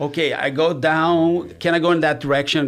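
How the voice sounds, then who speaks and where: Here a man talks with a Brazilian accent. His pitch variation is ordinary. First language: Portuguese. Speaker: mortgage advisor and real estate investor. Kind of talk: casual chat.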